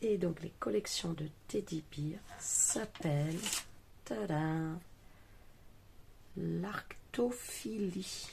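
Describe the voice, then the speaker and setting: A woman mumbles quietly in a dark, mellow, somewhat breathy tone. Her pitch is fairly low, and her intonation is lively. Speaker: craft youtuber. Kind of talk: craft tutorial. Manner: mumbling, quiet. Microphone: too quiet.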